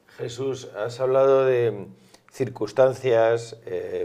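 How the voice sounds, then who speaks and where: Delivered at a very slow pace, the voice has a dark, mellow tone and fairly even intonation. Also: man. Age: middle-aged. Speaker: interviewer. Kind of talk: interview. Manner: hesitant, many fillers. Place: studio. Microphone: lapel.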